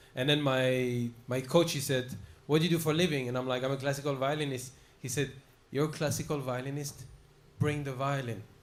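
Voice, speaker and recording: A man's fairly high, monotone voice with flat intonation, at a fairly quick pace amid audible room echo. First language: not English. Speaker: musical comedian. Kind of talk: casual chat.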